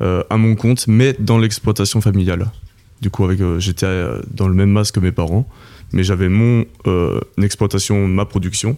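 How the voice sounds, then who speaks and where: With a dark, mellow tone and fairly low pitch, a man speaks at a moderate pace with fairly even intonation, very even loudness and long, frequent pauses. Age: 20s. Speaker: oyster farmer. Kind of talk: interview. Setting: at his home. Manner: hesitant, many fillers.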